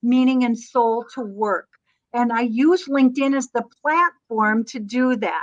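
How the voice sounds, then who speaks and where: Slowing to a fairly slow pace, a woman speaks at a high pitch with an American accent. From Minnesota, US Midwest. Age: 60s. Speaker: LinkedIn coach. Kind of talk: live webinar talk.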